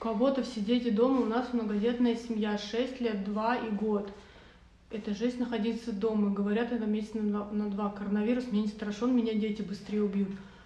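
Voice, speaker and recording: Set against noticeable background noise, a woman talks in a fairly high pitch. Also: moderate pace. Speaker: podcast co-host. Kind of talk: casual live chat. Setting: video livestream. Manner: lively, informal.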